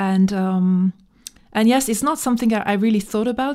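The woman's tone is dark and mellow, and she speaks with a French accent. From small-town France. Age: 40s. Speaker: musician. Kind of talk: interview. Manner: halting, many fillers.

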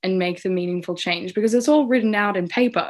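Against a quiet background, a woman with an Australian accent talks at a medium pitch with fairly even intonation. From Australia, Canberra. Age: 20s. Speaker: youth mental health advocate. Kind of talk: interview testimony.

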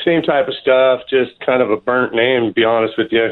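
A man with an American accent speaks in a plain, everyday voice at a medium pitch and moderate pace. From San Diego, California. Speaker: rock musician. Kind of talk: casual radio interview. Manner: laid-back, slangy.

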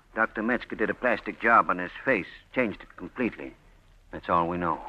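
A man's put-on character voice, low-pitched with a bright, sharp tone, at a fairly quick pace. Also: ordinary pitch variation.

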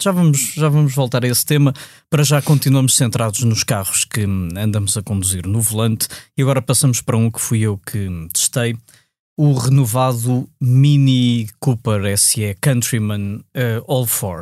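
Recorded very cleanly with a silent background, a man speaks at a moderate pace and medium pitch in a dark, mellow tone with ordinary pitch variation. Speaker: podcast host and motoring journalist. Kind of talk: casual interview.

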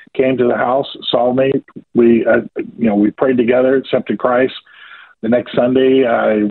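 A man with a slight Southern US accent, at a medium pitch. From US South, rural Georgia. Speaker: ministry leader. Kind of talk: radio interview. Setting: phone call.

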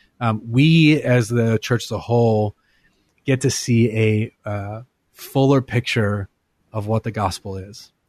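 Dry and close with no echo, an unremarkable speaking voice from a man comes at a fairly slow pace with fairly even intonation. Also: medium pitch for a man. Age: 30s. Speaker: worship leader and musician. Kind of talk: interview. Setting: radio studio.

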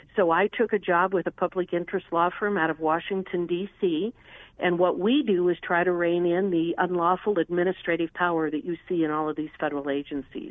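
A woman with an American accent talks at a fairly quick pace in a fairly low pitch with ordinary pitch variation. She has an unremarkable speaking voice. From Wyoming, US. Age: 50s. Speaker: congressional candidate and attorney. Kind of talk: political interview. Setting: phone call. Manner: repeats words when speaking quickly.

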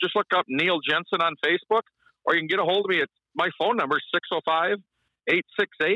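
A man speaks in a high voice with an Upper Midwest accent. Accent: Upper Midwest American. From South Dakota. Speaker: ice fishing guide. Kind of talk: radio interview.

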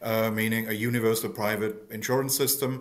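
A man talks with a German accent. His pace is moderate and his pitch medium. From Germany. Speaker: think tank economist. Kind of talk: interview.

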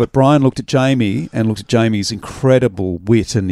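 The speaker has an Australian accent, a moderate pace, and ordinary pitch variation. The recording is very clean, silent in the background, and dry and close with no echo. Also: man. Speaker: radio programmer and podcast host. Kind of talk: casual chat. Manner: hesitant, many ums and ahs.

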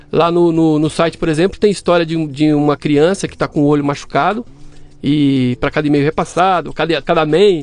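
Music plays behind a man speaking at a fairly quick pace. His pitch is fairly high. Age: 40s. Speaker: systems analyst and fact-checking site owner. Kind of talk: casual interview chat.

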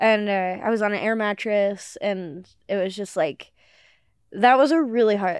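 A woman's fairly high-pitched, a normal speaking voice at a moderate pace, with fairly even intonation over a quiet background. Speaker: comedian. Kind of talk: casual chat.

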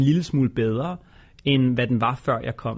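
With an unremarkable speaking voice, a man at medium pitch talks at a fairly quick pace with ordinary pitch variation. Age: 30s. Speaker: entrepreneur and investor. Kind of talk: interview.

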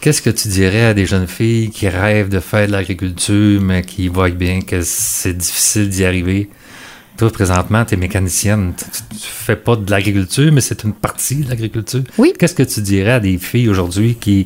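In a plain, everyday voice, a man talks at a moderate pace with a fairly low pitch and fairly even intonation. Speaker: agriculture podcast host. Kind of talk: interview.

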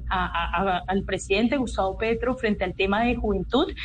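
A woman speaks at a moderate pace. Audible room echo is present. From Colombia, Cali (Pacific region). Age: 20s. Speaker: youth advisor to the government, student leader. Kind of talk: radio interview. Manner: halting, many fillers and repetitions.

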